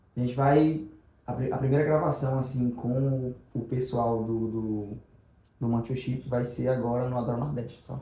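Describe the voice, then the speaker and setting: A man speaks at a medium pitch and a moderate pace, his somewhat breathy voice dark and mellow in tone, with monotone, flat intonation and audible room echo. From Brazil, Rio Grande do Norte (Macau). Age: 20s. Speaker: evangelist and youth leader. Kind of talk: testimony.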